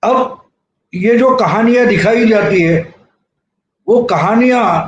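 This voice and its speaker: A man's extremely high pitch with ordinary pitch variation, amid audible room echo. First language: Marathi (speaking Hindi). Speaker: journalist, political commentator. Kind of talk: video commentary.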